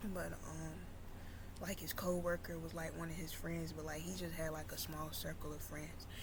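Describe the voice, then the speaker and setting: Soft-spoken and moving at a moderate pace, a woman is heard with audible room echo and noticeable background noise. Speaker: YouTuber. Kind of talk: storytelling.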